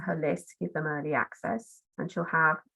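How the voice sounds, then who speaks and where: Her fairly low voice carries vocal fry as the woman speaks with ordinary pitch variation. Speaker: marketing consultant. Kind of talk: webinar presentation. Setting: online webinar. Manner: friendly, practical and to the point.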